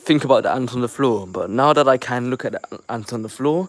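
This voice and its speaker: A man's medium-pitched voice with ordinary pitch variation and an American accent. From London, England. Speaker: YouTube reaction creator. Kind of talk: casual livestream chat. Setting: livestream via the Shorts tab. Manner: halting, with repeated words.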